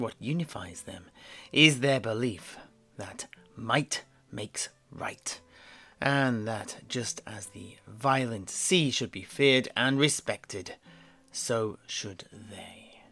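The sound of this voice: A put-on character voice comes through with a bright, sharp tone and ordinary pitch variation. The pace is slow, with faint music in the background. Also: man, medium pitch for a man.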